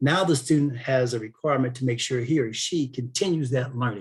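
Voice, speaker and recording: Somewhat breathy, a man at medium pitch rattles along at a very fast pace with ordinary pitch variation. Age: 60s. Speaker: aerospace defense industry speaker, former Air Force officer. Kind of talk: webinar Q&A.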